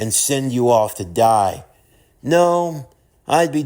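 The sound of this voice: With lively intonation, the reading voice stays unforced.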